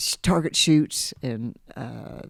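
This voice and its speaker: A woman with an American accent and a very deep, low pitch, in a very clean recording with a silent background and a dry, close sound with no echo. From Kansas. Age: 70s. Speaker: lodge manager. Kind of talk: casual interview. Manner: halting.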